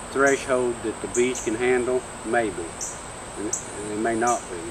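Noticeable background noise sits under the voice. Delivery is moderately paced, and the intonation stays fairly even. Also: man. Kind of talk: tutorial. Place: garden. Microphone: camera far.

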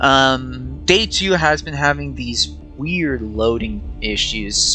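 Very slow speech over music in the background. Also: man. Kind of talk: gameplay commentary. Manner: stuttering, hesitant.

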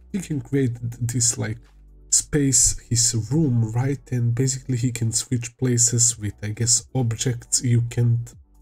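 Faint music plays in the background. A man speaks at a very slow pace in a monotone, flat intonation. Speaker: anime reaction youtuber. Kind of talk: casual vlog chat. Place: home room. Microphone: headset.

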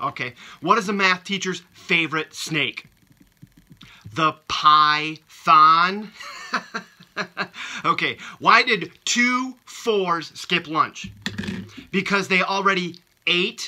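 A man's voice, high in pitch, at a very slow pace with long, frequent pauses and ordinary pitch variation. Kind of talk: casual video message with jokes. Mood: playful, laughing at jokes. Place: home room. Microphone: phone near.

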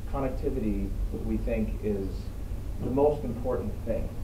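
Noticeable background noise behind fairly slow speech. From California, US. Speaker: foreign organization representative, speaker at forum. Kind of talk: panel discussion, speaking with interpreter. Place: meeting room. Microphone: camera far.

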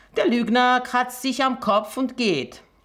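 A woman's bright, sharp voice at a very slow pace against a quiet background. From Armenia. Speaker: storyteller, journalist and teacher reading a fairy tale. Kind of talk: reading aloud a fairy tale. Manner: expressive storytelling, measured pace. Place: home room.

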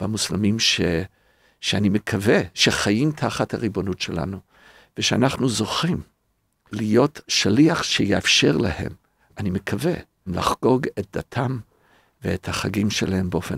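In an English accent, a man speaks at a very slow pace with a fairly low pitch and lively intonation. The sound is dry and close, with no echo. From North America. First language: English (speaking Hebrew). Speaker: rabbi and podcast co-host. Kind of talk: casual chat.

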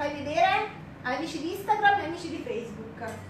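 A woman with an extremely high pitch and very wide pitch swings, audible room echo, and light background noise. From Campania, Benevento area. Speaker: cooking show host. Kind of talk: cooking demonstration livestream. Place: kitchen. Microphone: phone near.

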